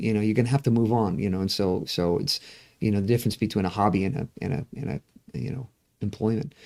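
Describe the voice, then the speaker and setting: A man with a dark, mellow tone, medium pitch, ordinary pitch variation and a very fast pace. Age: 60s. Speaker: pastor. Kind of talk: casual chat. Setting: livestream. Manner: halting, many repeated words.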